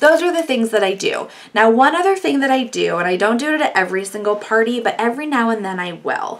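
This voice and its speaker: A woman's animated, very fast delivery, fairly high in pitch, with very wide pitch swings. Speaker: face painter. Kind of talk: tutorial.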